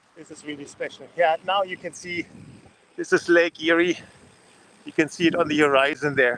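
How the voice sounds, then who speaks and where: High male pitch with a German accent, a man amid noticeable background noise. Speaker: leadership coach cycling around the world. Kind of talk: video diary vlog. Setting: outdoors. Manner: halting, many fillers.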